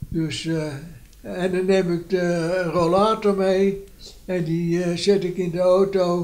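The speech moves at a very slow pace. Its intonation stays monotone and flat. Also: man, high pitch for a man. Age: 80s+. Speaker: centenarian interviewee; interviewee. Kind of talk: casual interview. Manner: halting. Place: home room.

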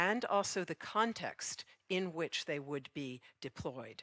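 A woman's fairly low-pitched, fairly slow speech in a plain, everyday voice, against a quiet background. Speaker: event moderator. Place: stage. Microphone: headset.

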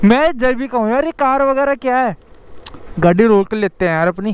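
The tone is clear and smooth, and the pace is moderate. Pitch variation is ordinary. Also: man, extremely high pitch for a man.

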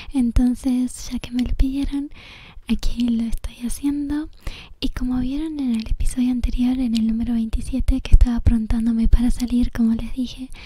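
Soft-spoken and high-pitched, a woman talks at a moderate pace in a monotone, flat intonation, with a dry sound and no echo. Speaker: ASMR creator. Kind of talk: ASMR gameplay commentary. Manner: whispered. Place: bus.

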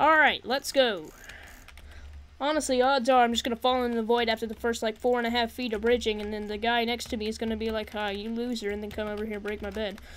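With fairly even intonation and a fairly high pitch, a woman talks at a very fast pace over light background noise. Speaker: gaming YouTuber; gamer commentator. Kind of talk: gameplay commentary. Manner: casual with many fillers. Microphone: studio mic.

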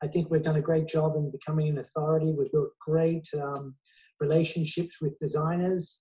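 Against a quiet background, a man speaks at a moderate pace with a dark, mellow tone. His pitch is fairly high, and his intonation is monotone and flat. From Australia. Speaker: celebrity hair stylist and salon owner; interviewee. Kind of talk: interview; interview answer. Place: home room. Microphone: earbuds.

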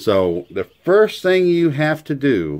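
With light noise in the background, a man speaks with ordinary pitch variation. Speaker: hobbyist demonstrator. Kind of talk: tutorial. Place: workshop. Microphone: phone near.

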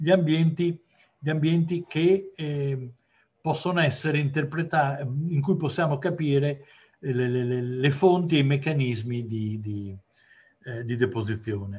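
A man speaks at a fairly slow pace with long, frequent pauses. His fairly high, somewhat breathy voice shows ordinary pitch variation. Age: 60s. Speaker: geology professor. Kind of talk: lecture. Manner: halting. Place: home room. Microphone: video call.

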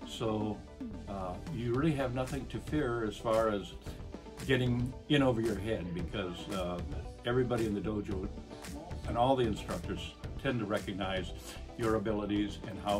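Clear music plays in the background as a man speaks at a fairly low pitch and moderate pace with lively intonation. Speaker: retired police officer. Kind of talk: interview answer. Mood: warm, appreciative. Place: office. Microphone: phone near.

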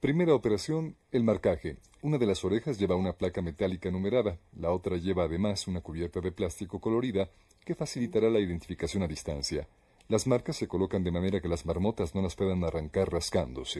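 Speaking at a very fast pace, a man uses a very deep, low voice with a dark, mellow tone, lively intonation and a somewhat breathy quality. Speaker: documentary narrator. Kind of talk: nature documentary narration. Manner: even, measured, formal narrator delivery.

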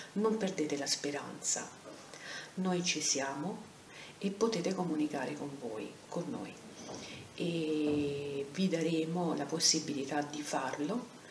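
Over noticeable background noise, a woman with a very deep, low voice talks at a very slow pace, with ordinary pitch variation and long, frequent pauses. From Rome. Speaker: anti-violence centre president. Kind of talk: video lecture. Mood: earnest, warm, reassuring. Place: home room. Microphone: webcam.

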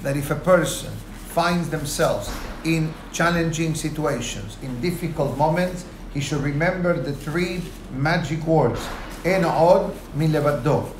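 Audible room echo and light background noise surround a man talking at a fairly slow pace in a monotone, flat intonation. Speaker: rabbi. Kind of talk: lecture. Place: office. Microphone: lapel.

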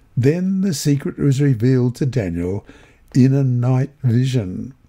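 A man's medium-pitched voice, dark and mellow in tone and somewhat breathy, with lively intonation at a moderate pace. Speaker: Bible lesson reader and prayer leader. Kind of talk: reading aloud and prayer.

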